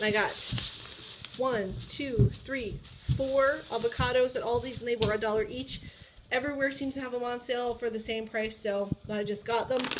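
With an American accent, a woman speaks at a high pitch and moderate pace, her intonation fairly even, leaving long, frequent pauses amid noticeable background noise. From Ohio, US Midwest. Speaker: vlogger. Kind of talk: casual vlog talk.

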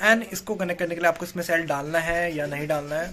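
With light background noise behind him, a man speaks at a fairly quick pace in fairly even intonation. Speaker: vlogger. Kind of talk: casual vlog chat, product unboxing. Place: home room. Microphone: phone near.

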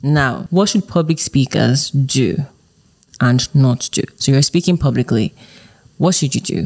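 This woman has a very deep, low pitch with ordinary variation. The sound is dry and close, with no echo. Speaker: podcast host. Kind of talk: interview. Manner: fast.

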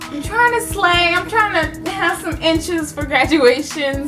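A woman's voice with clear music in the background. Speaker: beauty vlogger. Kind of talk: casual vlog chat. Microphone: phone near.

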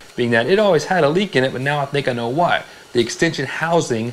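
Talking at a very fast pace, a man keeps ordinary pitch variation. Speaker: car hobbyist host. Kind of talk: casual vlog chat. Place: garage.

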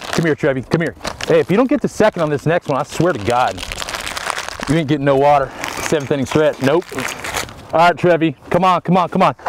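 Over noticeable background noise, a man talks at a very fast pace with ordinary pitch variation in a dry sound with no echo. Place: stadium. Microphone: lapel.

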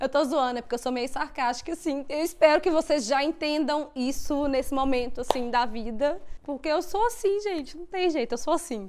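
Her intonation is lively and her pitch high, with hardly any pauses. This woman talks at a moderate pace. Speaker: YouTuber and au pair. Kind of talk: casual chat. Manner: animated.

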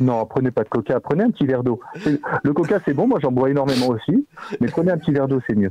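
Very fast and at very even loudness, a man speaks at a fairly high pitch in a dry sound with no echo and light background noise. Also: lively intonation. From Corsica, Ajaccio; Corsica. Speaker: company phone employee. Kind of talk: phone call. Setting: phone call. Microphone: phone line.

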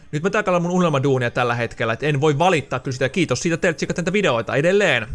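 A man's pitch shifts in an ordinary way as he speaks at a very fast pace. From Finland, Loimaa area; Finland. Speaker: gaming YouTuber; gaming youtuber. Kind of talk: casual Q&A video monologue. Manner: casual, many filler words. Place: home room. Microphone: studio mic.

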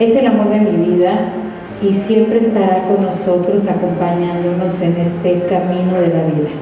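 A woman with a fairly low voice speaks at a moderate pace with little pitch movement, amid audible room echo and clear background noise.

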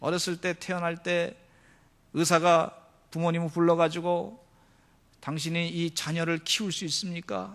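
This man has a high-pitched voice. He speaks with long, frequent pauses. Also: fairly slow pace. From South Korea, Seoul. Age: 40s. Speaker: pastor. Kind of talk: sermon. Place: church. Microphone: podium.

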